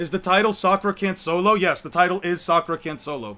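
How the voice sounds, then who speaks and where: A raised, projected voice with a bright, sharp tone moves at a fairly quick pace. The intonation stays fairly even, and the recording is very clean with a silent background. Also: man. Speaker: streamer debating anime power scaling. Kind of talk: casual live stream chat. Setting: in his room, voice call. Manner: sounds irritated, exasperated; gets louder when heated.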